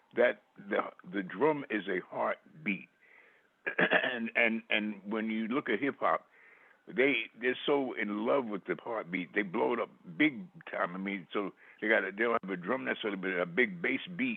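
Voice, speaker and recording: With a normal speaking voice, the speaker talks at a moderate pace with lively intonation. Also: man, medium pitch for a man. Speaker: poet. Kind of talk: interview answer.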